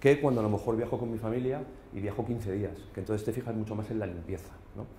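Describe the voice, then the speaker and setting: Here a man is talking. His pace is very fast. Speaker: business consultant. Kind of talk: business presentation. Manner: hesitant, many fillers.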